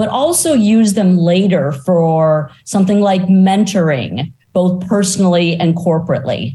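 At a fairly slow pace, a woman speaks in a somewhat breathy, dark, mellow tone at medium pitch with ordinary pitch variation. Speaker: podcast host. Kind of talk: casual interview conversation.

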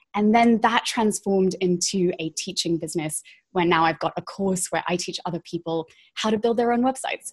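Over a quiet background, a woman talks at a fairly quick pace. Her medium pitch has ordinary pitch variation. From England. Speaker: website designer and strategist. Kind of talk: casual interview chat.

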